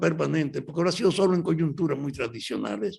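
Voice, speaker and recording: A man talks with vocal fry. His pitch sits fairly high. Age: 80s+. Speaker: veteran leftist politician. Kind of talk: interview.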